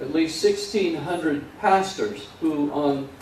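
The intonation of this man stays fairly even. The room echo is audible, and light background noise can be heard. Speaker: pastor. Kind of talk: sermon. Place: church.

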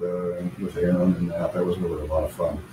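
Male speech amid light background noise and audible echo from the room. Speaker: remote interview guest. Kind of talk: interview answer. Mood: relaxed, friendly. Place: home room.

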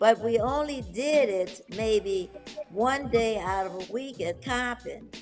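Faint music plays in the background as a woman speaks at a very slow pace. Her voice is fairly high in pitch with lively intonation. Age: 80s+. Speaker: bodybuilder. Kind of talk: interview answer. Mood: warm, animated. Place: home room. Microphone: video call.

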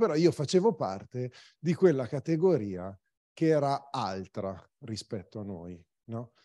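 Against a quiet background, a man speaks at medium pitch in a dark, mellow tone. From Varese province, northern Italy. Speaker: cycling magazine publisher. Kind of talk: presentation talk.

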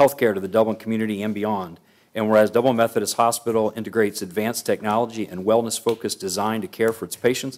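The man talks at a very fast pace in a monotone, flat intonation. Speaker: council meeting presiding official. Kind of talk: formal proclamation reading. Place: hall. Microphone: podium.

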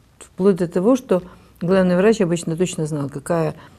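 A woman speaks at a fairly low pitch. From Odesa, Ukraine. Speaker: healthcare official. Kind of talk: TV panel discussion. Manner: formal. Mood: serious, earnest. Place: studio. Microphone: lapel.

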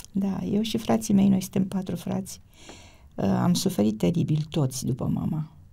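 A woman speaks at a moderate pace with very wide pitch swings. Her pitch sits fairly low. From Romania. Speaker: mother and grandmother, cookbook author. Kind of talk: casual interview. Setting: studio. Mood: warm, reflective, sometimes sad. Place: studio. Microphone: studio mic.

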